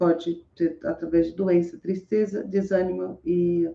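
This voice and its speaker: In a dark, mellow tone, a woman speaks at a fairly low pitch with fairly even intonation. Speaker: motivational speaker reading scripture. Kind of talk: casual live talk with scripture reading and commentary. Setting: home room with open window, street noise.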